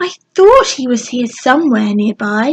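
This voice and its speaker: A woman puts on a character voice at a high pitch. She speaks at a moderate pace. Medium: read story.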